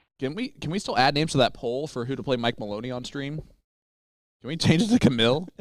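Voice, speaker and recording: An animated man with a slight Midwestern US accent talks at a very fast pace, his pitch fairly high with ordinary variation and big swings in loudness. The recording is very clean, with a silent background. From Indianapolis, US Midwest. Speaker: darts commentator. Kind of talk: live commentary.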